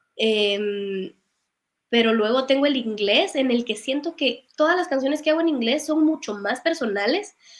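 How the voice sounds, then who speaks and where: Lively intonation marks a woman's high-pitched voice. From Guatemala, Guatemala City. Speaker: singer-songwriter. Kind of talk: interview conversation.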